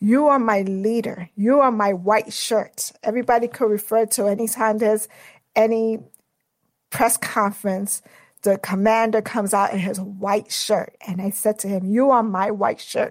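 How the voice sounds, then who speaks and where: In a New York accent, a woman speaks at a moderate pace with a fairly high pitch and fairly even intonation. The recording is very clean, with a silent background. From Brooklyn, New York. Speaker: federal law enforcement manager. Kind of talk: interview.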